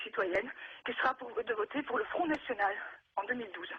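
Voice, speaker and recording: A woman speaks at a high pitch with very wide pitch swings. Noticeable background noise is present. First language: not French (speaking French). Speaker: naturalized citizen, TV show guest. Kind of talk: testimony. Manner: halting.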